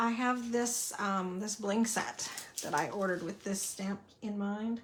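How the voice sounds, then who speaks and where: Speaking in a Southern US accent, a woman of medium pitch uses ordinary pitch variation over noticeable background noise. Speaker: card-making crafter. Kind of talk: live craft tutorial. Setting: livestream at craft table. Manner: casual, chatty.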